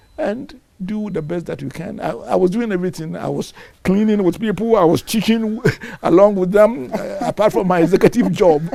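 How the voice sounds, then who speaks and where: The speech goes at a fairly quick pace with ordinary pitch variation, and noticeable background noise is present. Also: man, high pitch for a man. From Ghana, Ashanti region. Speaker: professor and former university head. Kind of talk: interview.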